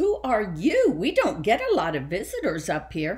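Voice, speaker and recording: Someone does a put-on character voice at a fairly high pitch and a moderate pace. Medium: read story.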